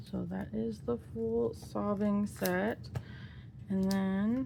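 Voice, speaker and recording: Very slow and quiet, a woman speaks in a somewhat breathy, very deep, low voice with very wide pitch swings, and the room echo is audible. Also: dark, mellow tone. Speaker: K-pop photocard collector vlogger. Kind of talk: casual hobby video narration. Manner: quiet, focused; chatty, halting with fillers.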